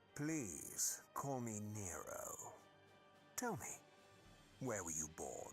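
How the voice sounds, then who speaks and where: A man performs a put-on character voice at a very slow pace, with long, frequent pauses. Music is clearly audible in the background. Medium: video game. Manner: smooth, condescending.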